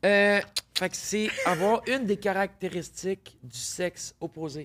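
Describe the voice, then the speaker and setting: A woman with a Quebec accent speaks very slowly, with ordinary pitch variation and big swings in loudness. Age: 40s. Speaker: podcast guest, intersex entrepreneur. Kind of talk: casual interview chat.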